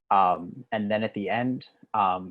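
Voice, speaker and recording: With an American accent, a man speaks at a fairly low pitch against a quiet background. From US Northeast. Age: 20s. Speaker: digital organizer and trainer; trainer. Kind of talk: online training presentation. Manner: fast. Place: home room. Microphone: webcam.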